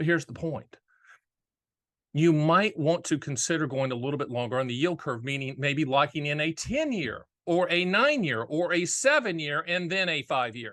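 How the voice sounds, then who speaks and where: At a moderate pace, a man with an American accent speaks at a fairly high pitch in a bright, sharp tone. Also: ordinary pitch variation, quiet background. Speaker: annuity and finance commentator.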